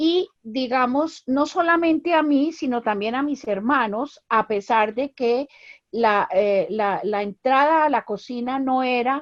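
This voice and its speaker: A woman speaks at a very slow pace. Her high-pitched voice has lively intonation. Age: 70s. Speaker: anthropologist. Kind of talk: panel discussion.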